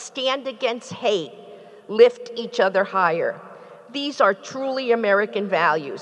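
At a fairly slow pace, a woman speaks in a fairly high pitch. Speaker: university president. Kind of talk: formal ceremony remarks; commencement speech. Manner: formal, measured. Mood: earnest, rousing. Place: hall. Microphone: podium.

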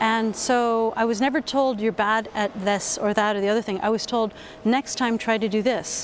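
A woman with an American accent and a plain, everyday voice speaks at a moderate pace with a fairly high pitch, fairly even intonation and very even loudness, in a dry sound with no echo and light background noise. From US West Coast, Berkeley, California; California. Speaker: university lecturer. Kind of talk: interview. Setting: education conference. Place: hall. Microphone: lapel.

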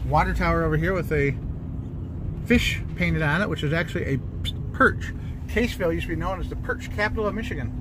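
A man talking at a very fast pace, the sound dry with no echo, noticeable background noise behind him. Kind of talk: casual travel commentary. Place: car. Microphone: phone near.

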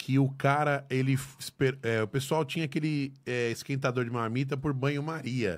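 Against a quiet background, a man speaks at a moderate pace. His intonation is fairly even, with hardly any pauses. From Brazil. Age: 40s. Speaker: podcast host. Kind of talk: casual chat. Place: studio. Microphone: studio mic.

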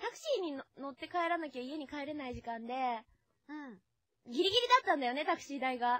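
A woman with a high voice talks at a fairly quick pace, her intonation lively and her loudness swinging widely, in a dry recording with no echo and a quiet background. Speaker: voice actress and radio host; voice actress, radio host. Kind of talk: casual radio talk, chatty banter. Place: studio. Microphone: studio mic.

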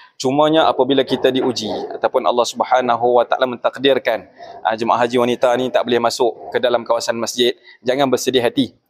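Very fast delivery with fairly even intonation and very even loudness, over a quiet background. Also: man. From Malaysia. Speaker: religious affairs officer for pilgrims. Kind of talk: news interview; interview answer. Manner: many hesitations (uh). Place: hall. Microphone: handheld.

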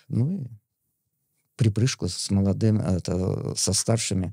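Over a quiet background, a man speaks fairly slowly at a fairly low pitch, his somewhat breathy voice dark and mellow in tone, with ordinary pitch variation and a dry sound with no echo. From Smolensk region, Russia; Russia. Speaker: veteran distance runner and coach; podcast guest. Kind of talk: interview; interview answer. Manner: halting. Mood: calm, reminiscing. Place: studio. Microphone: studio mic.

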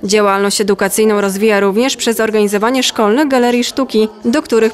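Against noticeable background noise, a woman talks at a fairly quick pace with hardly any pauses, at a fairly high pitch with fairly even intonation. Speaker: news reporter. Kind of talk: news report narration.

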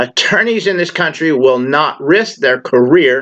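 Lively intonation carries this fairly slow speech over a quiet background. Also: man. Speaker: channel host. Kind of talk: political appeal monologue. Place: home room. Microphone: webcam.

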